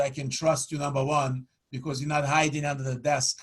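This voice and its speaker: A man with a strong Ukrainian accent speaks fairly quickly in a fairly high, somewhat breathy voice. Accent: thick Ukrainian. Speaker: annuity sales trainer. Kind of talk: product demo. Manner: animated.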